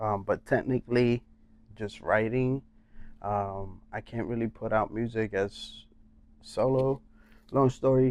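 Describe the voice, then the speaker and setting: The speaker has a Puerto Rican accent and a fairly slow pace. Long pauses come often. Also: man, medium pitch for a man, fairly even intonation. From Puerto Rico. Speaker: songwriter and rapper, former basketball player. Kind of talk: casual podcast interview.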